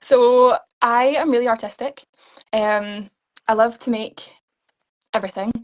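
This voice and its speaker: With a Scottish accent, a woman speaks in a fairly high pitch and fairly even intonation, leaving long, frequent pauses. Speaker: beauty pageant contestant. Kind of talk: interview. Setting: live stream interview. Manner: fast.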